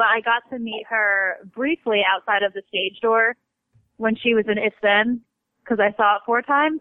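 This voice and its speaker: In a plain, everyday voice, a woman with fairly high pitch speaks at a moderate pace with fairly even intonation. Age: 20s. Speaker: country singer and ER nurse. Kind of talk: casual interview. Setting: phone call. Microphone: cell phone line.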